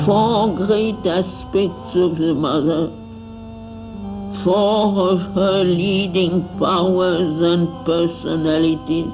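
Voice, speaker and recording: A woman speaks at a very slow pace with fairly low pitch and fairly even intonation. Her loudness stays very even, with music in the background. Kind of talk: spiritual text reading.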